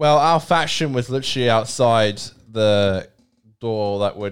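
This man has a fairly low pitch and ordinary pitch variation. He speaks with an Australian accent. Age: 20s. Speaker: podcast co-host. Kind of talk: casual chat.

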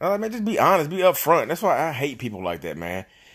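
Very fast and animated, a man talks with very wide pitch swings on a very clean recording with a silent background. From North Carolina, Reidsville. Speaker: real estate agent. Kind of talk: casual monologue.

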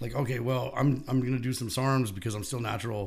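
A man with an American accent, medium pitch and a somewhat breathy voice, very fast pace and fairly even intonation, with audible room echo. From California (Bakersfield). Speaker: supplement store owner. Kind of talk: casual chat.

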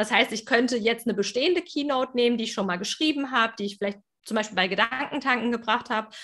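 A woman's bright, sharp voice, fairly high in pitch, with ordinary pitch variation and a very fast pace. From Germany. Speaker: business mentor and speaker. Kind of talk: interview conversation. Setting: video call, speaking standing.

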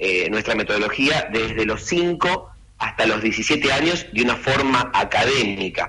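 Ordinary pitch variation in a man's speech, with noticeable background noise. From Argentina. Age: 40s. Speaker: youth football academy director. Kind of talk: radio interview.

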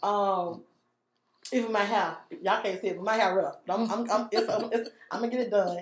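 This woman speaks at a moderate pace and medium pitch with ordinary pitch variation. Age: 30s. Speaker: guest, single mother of four. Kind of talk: casual chat.

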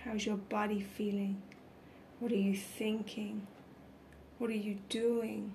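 Very slow and monotone, a woman talks at medium pitch in a soothing, calm tone with very even loudness, long and frequent pauses, and noticeable background noise. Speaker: meditation guide. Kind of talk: guided meditation. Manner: slow, soothing and calm.

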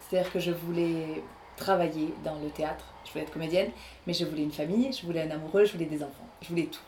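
A woman's fairly low voice with ordinary pitch variation, audible room echo and noticeable background noise. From southern France, Aveyron (Rodez). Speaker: actress and voice artist. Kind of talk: interview.

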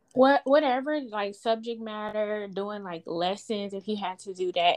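A woman with a normal speaking voice talks fairly slowly, her pitch moving in an ordinary way. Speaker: podcast host. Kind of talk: interview, casual conversation.

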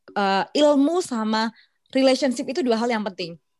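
A woman's plain, everyday voice, fairly quick with lively intonation, dry and close with no echo. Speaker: podcast co-host, sales professional. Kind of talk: casual chat.

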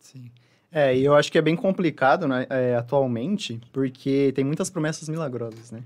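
A man talks in a normal speaking voice. His pace is moderate and his pitch variation ordinary. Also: fairly high pitch for a man. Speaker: nutritionist. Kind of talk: interview.

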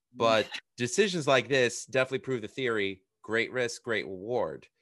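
A man talks at medium pitch and a moderate pace. The background stays quiet. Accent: American. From New York City area. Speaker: podcast host and musician. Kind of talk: interview.

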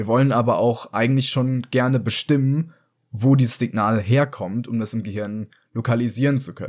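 This plain, everyday voice moves at a moderate pace with fairly even intonation. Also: man, medium pitch for a man. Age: young. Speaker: psychology student. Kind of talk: explanatory interview.

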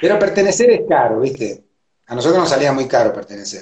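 The speaker is a man with an Argentine accent. He talks at a fairly quick pace. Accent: Argentine Spanish (rioplatense voseo). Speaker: capoeira teacher. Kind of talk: interview. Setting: Instagram live video call.

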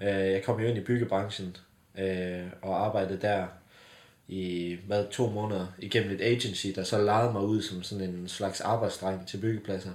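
A man's fairly low, monotone, flat voice at a fairly slow pace, with audible room echo. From southwest Jutland, Denmark (Bramming). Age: 20s. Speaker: company founder. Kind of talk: casual interview. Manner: hesitant, many fillers.

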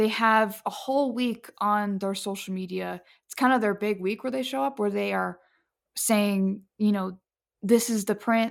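A woman speaks in a normal speaking voice at a medium pitch, fairly slowly and with fairly even intonation. The recording is very clean, with a silent background. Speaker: podcast host. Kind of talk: casual interview.

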